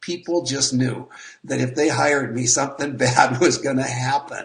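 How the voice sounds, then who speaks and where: A man's plain, everyday voice, medium in pitch, at a moderate pace with fairly even intonation. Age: 60s. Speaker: network marketer. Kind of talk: interview.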